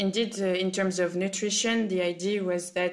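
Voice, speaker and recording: A woman talks with a French accent. She keeps a moderate pace. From France. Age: 20s. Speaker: food sustainability specialist. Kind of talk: casual podcast conversation.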